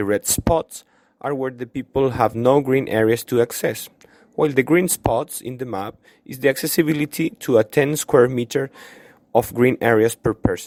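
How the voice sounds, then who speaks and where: A man with a Chilean accent at a medium pitch, the sound dry and close with no echo. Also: ordinary pitch variation, moderate pace. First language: Spanish. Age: 20s. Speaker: student vlogger. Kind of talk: video tour narration. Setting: outdoors in a park.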